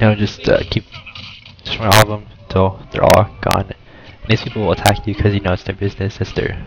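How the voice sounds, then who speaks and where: A man speaks at a fairly quick pace in a fairly low voice. Background noise is noticeable. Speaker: gaming youtuber. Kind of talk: gameplay commentary. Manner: hesitant, many fillers; casual.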